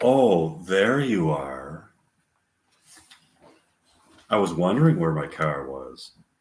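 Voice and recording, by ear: A man's put-on character voice, low-pitched and slow, with big pitch swings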